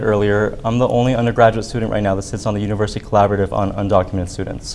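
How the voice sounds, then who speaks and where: Very fast speech from a man with a fairly low pitch and ordinary pitch variation, over noticeable background noise. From Arizona, US. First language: Spanish. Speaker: student government candidate. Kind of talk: debate.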